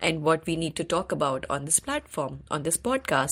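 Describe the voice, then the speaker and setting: In an Indian accent, a woman talks at a moderate pace with a fairly low pitch. The recording is very clean, with a silent background. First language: Hindi. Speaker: podcast host. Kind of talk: interview.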